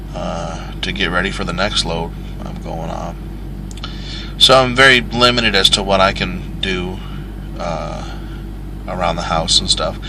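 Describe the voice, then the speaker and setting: With an American accent, a man talks at a fairly slow pace with long, frequent pauses and big swings in loudness, amid noticeable background noise and audible room echo. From Michigan, US. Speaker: truck driver and vlogger. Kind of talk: casual vlog monologue. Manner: rambling, casual with fillers.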